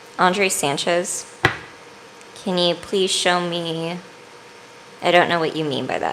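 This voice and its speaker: Amid noticeable background noise and audible room echo, a woman with a fairly low pitch talks very slowly in a monotone, flat intonation, leaving long, frequent pauses. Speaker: tarot reader. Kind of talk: live-streamed tarot reading. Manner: casual, chatty.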